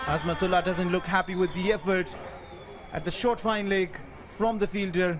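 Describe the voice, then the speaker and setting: A man speaks high-pitched in an animated tone at very even loudness. Long, frequent pauses break up his speech. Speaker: cricket commentator. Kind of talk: live sports commentary. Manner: animated, excitable, quick-fire calls.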